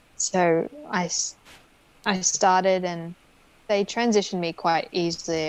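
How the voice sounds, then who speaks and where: Her Australian accent comes through as a woman speaks fairly slowly at a fairly low pitch with fairly even intonation. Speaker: lawyer and hypnotherapist. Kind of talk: interview answer.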